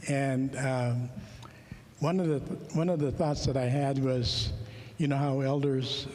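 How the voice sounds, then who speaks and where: A man's fairly high voice at a fairly slow pace, with ordinary pitch variation and audible room echo. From Alaska. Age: 70s. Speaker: conference speaker. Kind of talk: personal testimony talk. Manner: halting, many fillers.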